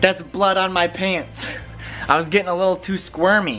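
Faint music plays behind a man speaking at a moderate pace. His pitch is high. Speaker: musician vlogger. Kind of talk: casual vlog chat. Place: home room. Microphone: phone near.

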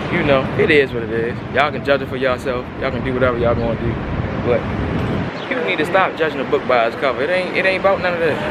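A man at a very fast pace with ordinary pitch variation, dry with no echo, over loud background noise. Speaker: vlogger. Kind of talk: casual vlog chat. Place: street. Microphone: phone near.

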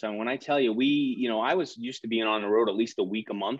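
Speaking with a Northeastern US accent, a man is heard in a dry, echo-free recording with a quiet background. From US Northeast, New Jersey. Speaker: equipment finance salesperson. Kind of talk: casual interview chat. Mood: relaxed reflective. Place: home room. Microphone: video call.

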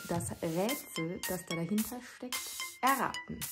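A woman with a Swabian accent at a very slow pace, clear music in the background. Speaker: dialect comedy creator. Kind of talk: casual talk to camera. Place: home room. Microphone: phone near.

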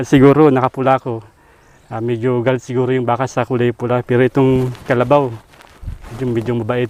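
A man's monotone, flat delivery at a fairly quick pace, in a dry sound with no echo. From Philippines, rural province. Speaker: vlogger; vlogger visiting a rural family. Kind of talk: casual vlog narration. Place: open country.

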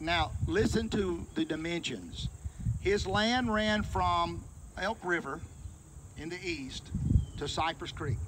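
A man with an American accent at a very slow pace, with long, frequent pauses and noticeable background noise. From US South, Florence, Alabama; Alabama. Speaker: local historian giving a site tour; local history guide. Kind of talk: guided tour talk to a group. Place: open country. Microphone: handheld.

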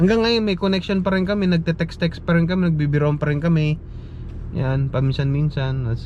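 Fairly quick speech from a man, pitched fairly high, with typical pitch movement over noticeable background noise. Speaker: nurse vlogger. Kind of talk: casual vlog monologue.

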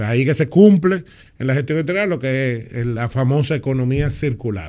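This man speaks at a moderate pace in a fairly high pitch, with ordinary pitch variation. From Dominican Republic. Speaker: public official; podcast guest. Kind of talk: interview. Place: studio. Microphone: studio mic.

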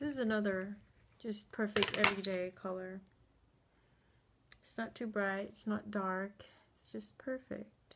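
A woman speaks at a fairly slow pace with fairly even intonation, long and frequent pauses, big swings in loudness, and light background noise. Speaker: beauty vlogger. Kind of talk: casual talk to camera. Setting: indoors at home, late at night. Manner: whispered, quiet. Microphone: phone near.

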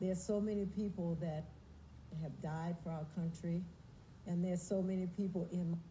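Over light background noise, a woman with a fairly low pitch and a dark, mellow, somewhat breathy tone speaks at a moderate pace in a flat, monotone intonation, leaving long, frequent pauses. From United States. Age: 70s. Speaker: singer. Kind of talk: TV interview answer. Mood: calm, earnest. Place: studio.

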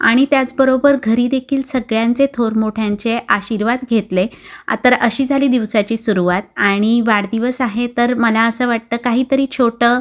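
Woman with an unremarkable speaking voice, fairly high-pitched, very even in loudness, with fairly even intonation. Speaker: vlogger. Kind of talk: vlog narration.

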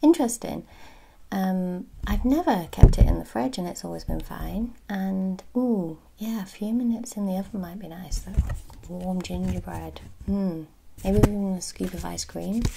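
A soft-spoken woman in a relaxed tone at a moderate pace, with big swings in loudness over noticeable background noise. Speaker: ASMR creator. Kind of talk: ASMR unboxing video. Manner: soft-spoken, relaxed. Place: home room. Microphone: phone near.

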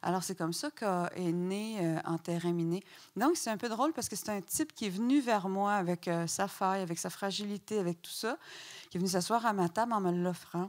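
A woman speaks in a Quebec accent against a quiet background. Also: ordinary pitch variation, moderate pace. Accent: Québécois French. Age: 50s. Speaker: novelist; guest. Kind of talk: public author talk. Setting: stage with audience. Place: stage. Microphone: handheld.

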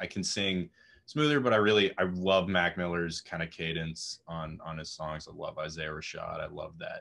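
A man talks at a moderate pace and low pitch with fairly even intonation. His fairly bright tone is raspy, with vocal fry.

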